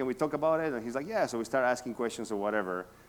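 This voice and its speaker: A man with a Spanish accent speaks with ordinary pitch variation. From South America. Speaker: real estate agent. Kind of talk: talk to a workshop audience.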